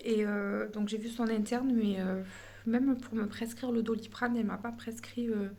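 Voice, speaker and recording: Somewhat breathy and fairly high in pitch, a woman speaks at a moderate pace with flat, monotone intonation while room echo is audible. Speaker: family vlogger. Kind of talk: casual vlog talk to camera. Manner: hesitant, many fillers.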